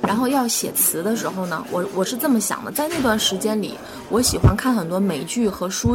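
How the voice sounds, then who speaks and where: With music in the background and audible room echo, a woman of medium pitch speaks at a fairly quick pace with lively intonation. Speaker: jazz singer. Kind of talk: casual chat. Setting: coffee shop. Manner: halting, many fillers.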